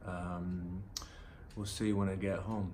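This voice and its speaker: Audible room echo surrounds a man as he talks. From northern England, Middlesbrough. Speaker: vlogger. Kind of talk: personal vlog monologue. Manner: hesitant, many fillers.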